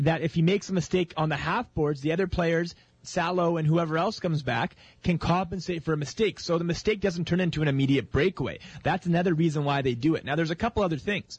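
Speaking very fast, a man uses a high pitch with ordinary pitch variation. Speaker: radio co-host. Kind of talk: sports commentary and analysis. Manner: earnest, analytical, explaining plays in detail.

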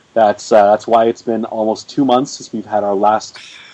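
Moderate-paced speech from a man, noticeable background noise behind it. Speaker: podcast host. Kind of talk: casual chat. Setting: Skype call.

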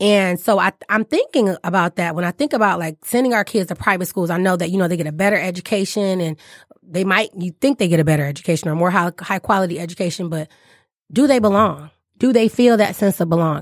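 On a very clean recording with a silent background and a dry, close sound with no echo, a woman speaks very fast at a medium pitch with ordinary pitch variation. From Detroit, Michigan. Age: 30s. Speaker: English teacher, podcast host. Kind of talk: casual chat. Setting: studio.

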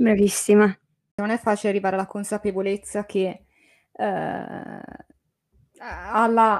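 A fairly high-pitched woman's voice with flat, monotone intonation. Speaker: podcast co-host. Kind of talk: casual interview. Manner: warm, encouraging.

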